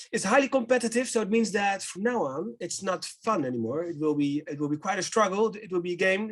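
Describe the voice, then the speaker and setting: A man with a Dutch accent talks at a fairly quick pace, his pitch swinging very widely. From Netherlands. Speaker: company director presenting a business simulation. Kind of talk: webinar presentation.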